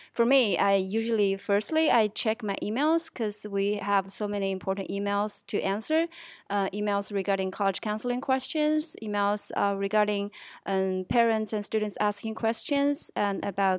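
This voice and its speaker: At a moderate pace, a woman with a Chinese accent speaks in a medium pitch with ordinary pitch variation. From Chongqing, southwest China. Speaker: assistant college counselor. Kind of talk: casual chat. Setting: studio. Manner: halting.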